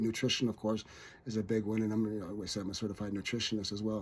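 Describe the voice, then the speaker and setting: A man speaks with a Canadian accent. His pace is very fast. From Ontario, Canada (Sudbury). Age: 60s. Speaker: fitness trainer and nutrition coach. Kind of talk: radio interview. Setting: radio studio. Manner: halting, many repeated words.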